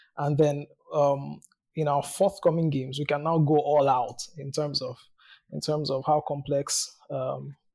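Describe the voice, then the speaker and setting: Somewhat breathy and fairly high in pitch, a man speaks at a fairly slow pace with monotone, flat intonation. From Nigeria. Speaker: game studio marketer. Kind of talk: interview.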